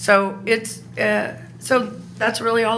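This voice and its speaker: Noticeable background noise and audible room echo come through as a woman talks. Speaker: resident speaking at public comment. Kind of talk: public comment at council meeting. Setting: city council meeting. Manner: informal, somewhat halting.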